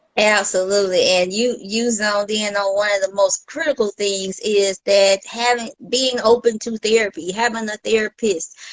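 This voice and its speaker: With hardly any pauses, a woman speaks at a moderate pace in a plain, everyday voice, fairly high in pitch with fairly even intonation and a dry, close sound with no echo. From US South. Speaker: mindset coach. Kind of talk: casual interview.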